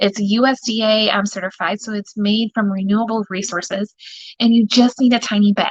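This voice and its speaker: A woman talks at a fairly quick pace in a fairly high pitch. Her voice is somewhat breathy, with a dry, close sound and no echo. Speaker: direct sales consultant. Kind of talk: live product demonstration. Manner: animated; quiet.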